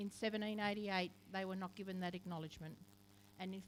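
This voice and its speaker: This woman speaks in an Australian accent at a fairly low pitch. Her intonation is monotone and flat. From Australia, Camden (Macarthur region, NSW). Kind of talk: ceremonial speech. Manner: formal.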